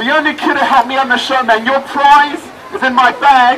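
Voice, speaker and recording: A man calls out in a raised, projected voice pitched extremely high, his tone animated. Crowd noise carries in the background. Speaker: street performer comedian. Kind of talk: street comedy show patter to a live crowd. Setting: outdoors, live audience. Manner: animated, joking, quick-witted crowd banter; constantly interrupts himself with laughs and asides. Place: street. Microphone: camera far.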